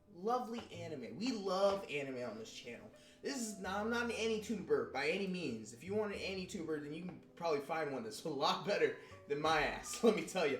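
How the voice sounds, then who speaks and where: Over music in the background and audible room echo, a man with a high pitch and an American accent talks at a fairly quick pace, his pitch swinging very widely and his loudness swinging a lot. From Texas, Houston. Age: 20s. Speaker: anime youtuber. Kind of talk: casual vlog talk. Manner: animated.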